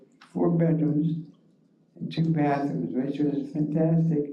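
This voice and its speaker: Fairly slow speech in an Ohio accent, with ordinary pitch variation and audible room echo. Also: man. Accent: Northern US (Ohio). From Ohio, Cleveland area (Rocky River). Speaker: war veteran. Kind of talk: oral history talk. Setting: library forum with audience.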